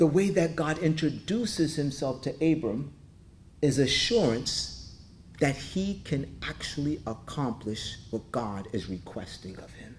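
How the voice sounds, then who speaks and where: A man speaks at a moderate pace with vocal fry and long, frequent pauses. His pitch swings very widely over light background noise. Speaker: pastor. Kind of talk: sermon, preacher in full flow with rhetorical questions and call-and-response. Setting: church with congregation. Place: church. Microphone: podium.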